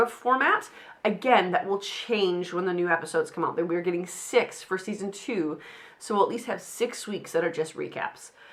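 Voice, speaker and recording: Noticeable background noise sits behind a woman's voice. Her pitch is medium and her intonation lively. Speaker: podcast host. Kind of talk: casual solo podcast talk. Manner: fast.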